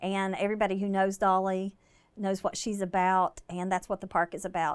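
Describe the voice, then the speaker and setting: Moderate-paced speech in an Appalachian accent, on a very clean recording with a silent background. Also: woman. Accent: Appalachian Southern. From US South, southern West Virginia. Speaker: breast cancer survivor and charity founder. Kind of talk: casual interview.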